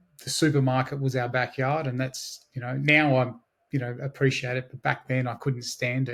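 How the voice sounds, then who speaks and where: Somewhat breathy, a man at a medium pitch talks at a fairly quick pace. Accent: Australian. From Australia, Blue Mountains west of Sydney. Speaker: digital marketing agency owner. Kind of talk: interview.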